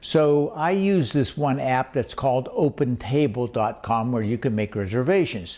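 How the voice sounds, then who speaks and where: A man's medium-pitched voice with an American accent, a dark, mellow tone and lively intonation, at a moderate pace with very even loudness and hardly any pauses. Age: 80s+. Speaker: travel vlogger. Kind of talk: casual tutorial.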